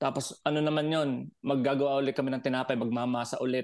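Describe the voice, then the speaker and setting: A man talks in a normal speaking voice at a fairly high pitch. His pace is moderate and his intonation fairly even. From Batangas, Philippines. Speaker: overseas Filipino worker, podcast listener. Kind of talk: casual chat.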